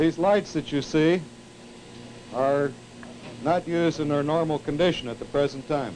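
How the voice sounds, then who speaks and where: Speaking at a moderate pace with a fairly high pitch, a man with an American accent uses fairly even intonation and long, frequent pauses over light background noise. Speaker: television engineer giving a tour. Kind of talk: vintage training film narration, a guided tour demonstrating equipment to students. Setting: studio tape room, filmed tour. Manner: formal, measured, explanatory; didactic, with occasional 'uh' pauses.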